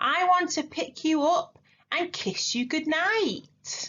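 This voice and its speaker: A put-on character voice with a high pitch speaks at a very slow pace. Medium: read story.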